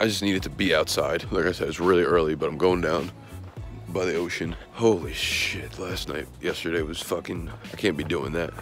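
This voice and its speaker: The speaker moves at a fairly quick pace with ordinary pitch variation. The sound is dry with no echo, and clear music plays in the background. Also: man, very deep, low pitch for a man. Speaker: vlogger. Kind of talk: casual vlog chat. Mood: hungover, rueful, chatty. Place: street. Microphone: phone near.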